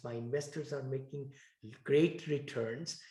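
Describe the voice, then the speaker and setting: A man with a fairly high pitch has a dark, mellow, somewhat breathy tone with ordinary pitch variation. He speaks at a fairly slow pace amid audible room echo. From India. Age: 60s. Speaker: real estate investor. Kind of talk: interview.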